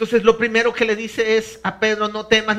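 In a high pitch, a man talks with flat, monotone intonation. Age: 50s. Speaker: pastor. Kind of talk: sermon. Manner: halting.

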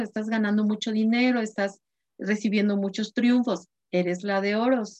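A woman talks at a moderate pace in a plain, everyday voice. Her pitch is fairly high and her intonation fairly even. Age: 50s. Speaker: spiritual guide and card reader. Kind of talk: course introduction talk.

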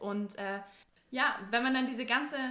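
Speech at a moderate pace, with ordinary pitch variation, comes through noticeable background noise. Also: woman. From southwest Germany, near Stuttgart. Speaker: university student. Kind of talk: casual chat.

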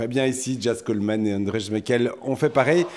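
Here a man talks in an ordinary speaking voice. His pace is moderate, with ordinary pitch variation. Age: 40s. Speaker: podcast co-host. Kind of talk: casual chat.

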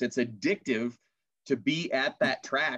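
A man talks with a Minnesota accent. His pitch varies in an ordinary way. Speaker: podcast host and announcer. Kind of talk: casual interview chat.

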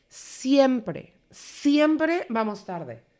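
Speaking in a Mexican accent, a woman uses lively intonation. The recording is very clean, the background silent. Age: 30s. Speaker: podcast co-host. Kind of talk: casual chat.

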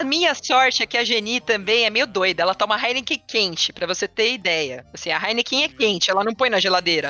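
Here is a woman with an ordinary speaking voice and fairly high pitch. She keeps a moderate pace and very even loudness. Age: 30s. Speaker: veterinarian. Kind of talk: casual chat. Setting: studio.

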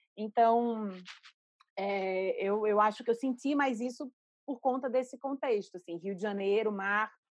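With a Pernambuco accent, a woman is recorded with a dry, close sound, no echo and a quiet background. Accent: northeastern Brazilian (Pernambuco). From Recife, northeastern Brazil. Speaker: art curator and critic. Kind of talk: interview. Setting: video call.

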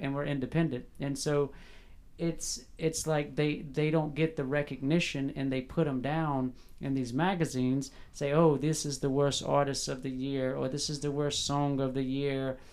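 A man talks with a Southern US accent at a moderate pace. His pitch is fairly high and his intonation monotone and flat. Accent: US South. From South Carolina, Fairfield. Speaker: podcast host. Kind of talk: interview.

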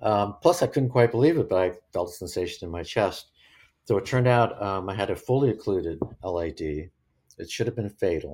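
A man speaks at a fairly quick pace with a fairly low pitch, lively intonation and a somewhat breathy sound. The recording is very clean, with a silent background. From born in England, raised in US and Germany. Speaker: retired TV executive and runner. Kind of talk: interview. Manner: hesitant, many fillers.

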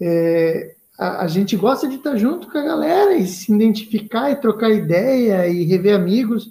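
A man speaks at a high pitch with a dark, mellow tone. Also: moderate pace, hardly any pauses. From Santa Catarina, Brazil (Joinville). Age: 30s. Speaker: running group organizer. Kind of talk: casual chat.

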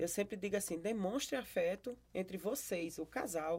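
Medium pitch for a woman, a dark, mellow tone, lively intonation and a moderate pace. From Brazil, Paraíba (Campina Grande). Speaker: pastor and podcast host. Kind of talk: casual interview.

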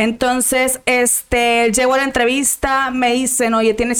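A woman is speaking. Her pitch is high. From Monterrey, northern Mexico. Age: 20s. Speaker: lawyer. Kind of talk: casual interview.

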